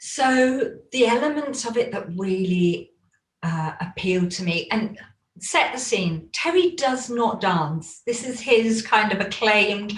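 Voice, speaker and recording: A woman speaks with a British accent at a fairly slow pace. Her fairly high voice has lively intonation. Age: 50s. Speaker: coaching student and former belly dance teacher. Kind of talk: interview.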